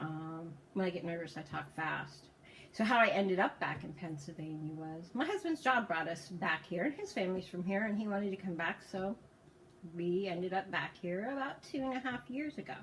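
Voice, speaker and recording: Lively, fairly quick speech from a woman at medium pitch, with noticeable background noise. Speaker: vlogger and cancer survivor. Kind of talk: personal testimony vlog. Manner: fast.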